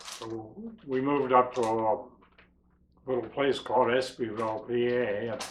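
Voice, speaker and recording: A man talks with flat, monotone intonation. He has an American accent. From western Pennsylvania / Youngstown, Ohio area. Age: 70s. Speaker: documentary interviewee. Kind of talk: life story interview.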